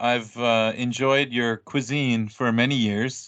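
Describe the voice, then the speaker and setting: A man with an American accent has a plain, everyday voice at medium pitch. His intonation is fairly even, and the background is quiet. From United States. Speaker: English teacher and podcaster. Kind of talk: casual conversation.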